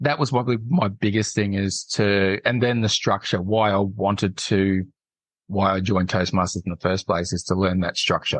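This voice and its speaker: A man speaks with an unremarkable speaking voice at a fairly low pitch. His pace is moderate and his pitch variation ordinary. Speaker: public speaking club member. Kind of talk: interview.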